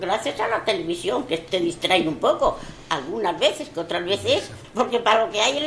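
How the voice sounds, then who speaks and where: Through noticeable background noise, a woman speaks at a moderate pace with very wide pitch swings. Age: 80s+. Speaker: elderly resident interviewed. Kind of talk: recorded testimony.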